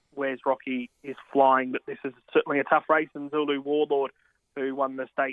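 With an Australian accent, a man speaks at a moderate pace in a fairly high, monotone, flat voice. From Australia, country Victoria. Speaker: horse racing tipster. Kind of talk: casual chat.

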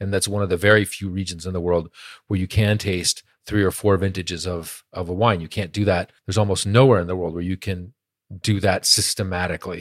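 On a very clean recording with a silent background, a man speaks at a fairly quick pace in a very deep, low voice with monotone, flat intonation. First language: Spanish. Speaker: wine critic and musician. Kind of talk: casual chat.

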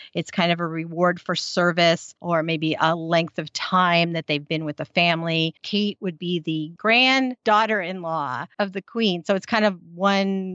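A woman talks at a medium pitch with a General American accent. Hers is an unremarkable speaking voice. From United States. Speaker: podcast host. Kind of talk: casual chat, recap.

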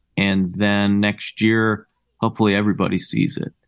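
An unremarkable speaking voice, moderate in pace, with an American accent. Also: man. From New Jersey (Cherry Hill, near Philadelphia). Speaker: rock musician and bandleader. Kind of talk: casual interview chat.

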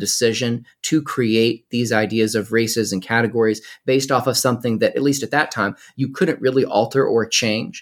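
This man has an unremarkable speaking voice of medium pitch, with an American accent, ordinary pitch variation and moderate pace, on a very clean recording with a silent background. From US South, North Carolina. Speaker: nonprofit activist, former history teacher. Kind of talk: interview.

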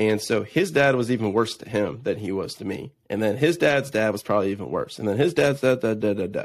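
A man's medium-pitched voice, with ordinary pitch variation, moves along at a moderate pace. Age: 20s. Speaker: entrepreneur and real estate investor. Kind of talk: casual interview chat. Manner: energetic, animated.

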